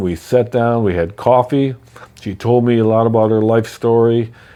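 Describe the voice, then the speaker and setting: A man's dark, mellow voice at medium pitch and a moderate pace. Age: 60s. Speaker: real estate investor. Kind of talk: personal story. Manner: casual, conversational.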